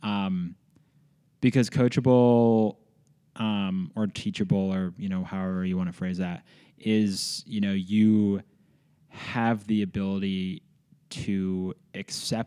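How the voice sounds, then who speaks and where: A man with an American accent talks at a fairly slow pace in a fairly low-pitched, dark, mellow tone, on a very clean recording with a silent background. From US Northeast, Philadelphia. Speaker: startup advisor and founder. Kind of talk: casual interview. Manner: animated.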